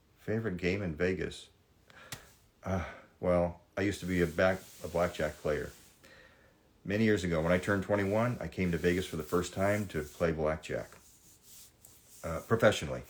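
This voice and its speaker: A man with an American accent speaks at a moderate pace, his pitch very deep and low and his intonation fairly even. The recording is very clean with a silent background, and he takes long, frequent pauses. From Southern California. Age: 60s. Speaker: reality TV personality. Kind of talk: live stream Q&A. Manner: casual, conversational.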